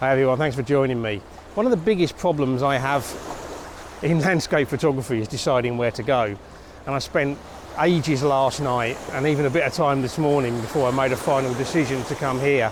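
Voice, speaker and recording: Fairly high-pitched man at a fairly quick pace, ordinary pitch variation, noticeable background noise. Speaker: landscape photographer vlogger. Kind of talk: vlog tutorial. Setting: outdoors. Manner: soft-spoken.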